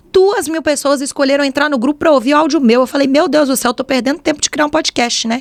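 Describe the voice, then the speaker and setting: A woman with a Minas Gerais accent talks at a very fast pace and a high pitch. Her pitch varies in an ordinary way, and the sound is dry and close with no echo. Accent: mineiro accent from Belo Horizonte. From Brazil, Belo Horizonte (Minas Gerais). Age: 20s. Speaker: podcast host and fashion influencer. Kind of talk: casual solo podcast monologue. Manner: chatty, informal.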